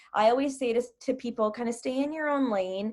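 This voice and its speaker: A woman's ordinary speaking voice with ordinary pitch variation, in a very clean recording with a silent background. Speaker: business coach leading a team training call. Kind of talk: group training call.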